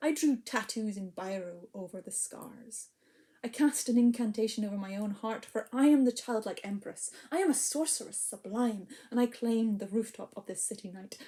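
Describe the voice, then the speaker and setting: A woman with a strong Scottish accent speaks at a moderate pace in a fairly high, somewhat breathy voice with a dark, mellow tone. Her pitch variation is ordinary, while her loudness swings a lot. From Scotland. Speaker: poet and storyteller. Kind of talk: spoken word poetry performance. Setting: online video event. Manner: hesitant, filler-heavy between poems.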